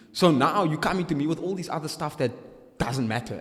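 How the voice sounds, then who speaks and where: Noticeable background noise sits behind a man speaking at a very fast pace. His tone is animated and his intonation lively. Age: young. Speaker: entrepreneur, former sales consultant. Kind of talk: casual chat. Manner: loud.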